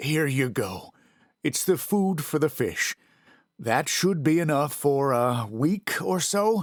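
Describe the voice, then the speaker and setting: A man's put-on character voice, fairly high in pitch and fairly slow in pace, on a very clean recording with a silent background. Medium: read story. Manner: soft-spoken, hesitant.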